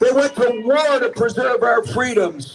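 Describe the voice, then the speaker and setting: Against noticeable background noise, a man speaks fairly slowly with lively intonation. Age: 70s. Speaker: activist speaker at a rally. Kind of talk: rally speech. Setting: outdoor rally in the rain. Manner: loud; animated.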